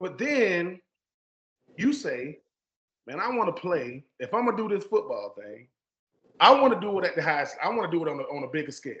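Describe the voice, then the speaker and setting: A man with a Southern US accent speaks in a high, animated voice at a moderate pace. His pitch swings very widely, his loudness shifts a lot, and he takes long, frequent pauses. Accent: Southern country. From US South, Georgia. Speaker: podcast host, former pro football player. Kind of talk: casual interview conversation.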